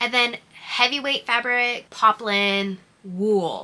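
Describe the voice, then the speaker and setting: A woman's bright, sharp voice moves at a very slow pace with fairly even intonation. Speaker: hobby sewist vlogger. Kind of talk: casual vlog narration. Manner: casual, filler-heavy (like, um).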